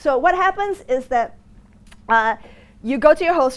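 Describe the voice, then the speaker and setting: A woman with an American accent at a moderate pace, her voice in very wide pitch swings. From Singapore. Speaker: negotiation lecturer. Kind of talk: lecture. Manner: halting, many fillers.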